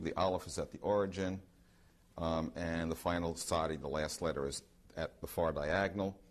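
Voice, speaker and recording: A man speaks with a very deep, low pitch. His pitch variation is ordinary. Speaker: researcher giving a talk. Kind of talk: lecture to an audience. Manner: fast; hesitant, many ums.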